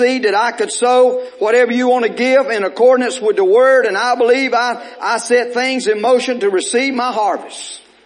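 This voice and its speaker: A man speaks at a fairly quick pace in an extremely high-pitched, animated voice, with noticeable background noise. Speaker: preacher. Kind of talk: sermon. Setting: church. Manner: animated, fervent pulpit delivery with call-and-response; repetitive, urgent exhortation.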